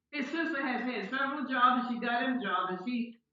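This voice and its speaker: The woman's voice is high in pitch. Her words carry audible room echo. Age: 80s+. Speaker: landlord grandmother in court. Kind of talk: court testimony. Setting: video call court hearing. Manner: halting, repeats words.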